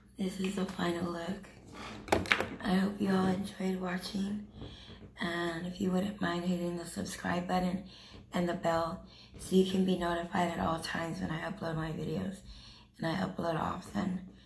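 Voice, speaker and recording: Over noticeable background noise, a woman with a fairly low pitch speaks at a moderate pace in monotone, flat intonation. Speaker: beauty vlogger. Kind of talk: makeup tutorial. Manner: friendly, casual.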